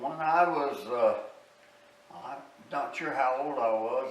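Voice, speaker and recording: A man with a Southern US accent at a very slow pace, amid audible room echo and noticeable background noise. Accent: Southern US rural. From US South, southwest Arkansas. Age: 90s. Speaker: war veteran, musician interviewee. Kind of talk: oral history interview. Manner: halting, many fillers.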